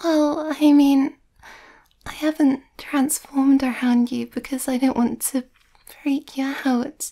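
The speaker is soft-spoken and talks at a very slow pace. The background is quiet. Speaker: voice actor in audio roleplay. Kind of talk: roleplay acting, soft conversational. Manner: soft, hesitant, shy ASMR voice.

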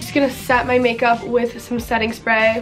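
A woman talks at a moderate pace while clear music plays in the background. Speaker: beauty vlogger. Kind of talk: casual vlog chat. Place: home room.

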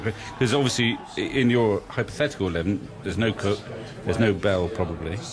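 A man speaks at a moderate pace with a fairly low pitch and ordinary pitch variation. There is noticeable background noise. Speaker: radio cricket commentator. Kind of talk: radio commentary panel chat during a rain delay. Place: booth.

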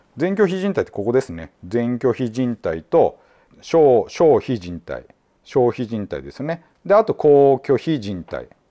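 At a fairly slow pace, the voice has a dark, mellow tone, very wide pitch swings and big swings in loudness, with a dry, close sound with no echo over a quiet background. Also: man, medium pitch for a man. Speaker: judo therapist and clinic head. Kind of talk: explanatory commentary video.

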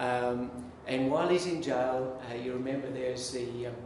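A man speaks at a fairly slow pace with audible room echo. Noticeable background noise is present. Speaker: minister preaching. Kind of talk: sermon. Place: church.

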